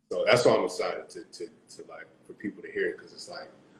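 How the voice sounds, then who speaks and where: Over light background noise and audible room echo, a man speaks at a very fast pace. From South Florida, Caribbean family. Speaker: singer and music producer; guest. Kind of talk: casual interview. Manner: animated. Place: home room. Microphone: video call.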